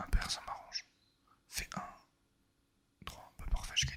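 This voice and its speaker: A man whispers at a very slow pace in a relaxed tone. Noticeable background noise sits behind him. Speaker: ASMR gaming video creator. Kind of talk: casual relaxed gameplay commentary. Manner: soft-spoken, relaxed.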